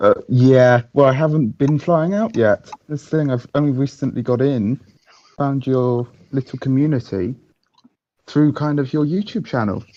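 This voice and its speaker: Fairly high in pitch yet dark and mellow in tone, a man's voice moves at a moderate pace with ordinary pitch variation. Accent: British. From England. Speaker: caller, beginner drone hobbyist. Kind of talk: casual chat. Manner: halting. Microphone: quiet, host turned him up.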